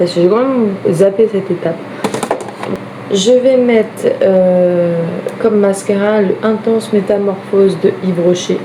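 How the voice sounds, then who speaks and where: Against noticeable background noise, a soft-spoken woman of medium pitch speaks at a fairly slow pace and very even loudness, with fairly even intonation and long, frequent pauses. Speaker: vlogger. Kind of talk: casual get-ready-with-me vlog. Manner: soft-spoken, quiet.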